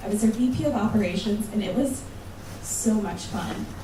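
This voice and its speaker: A woman with an American accent speaks in a fairly high voice with fairly even intonation, with audible room echo and noticeable background noise. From United States. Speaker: conference speaker. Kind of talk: conference talk. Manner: casual, conversational.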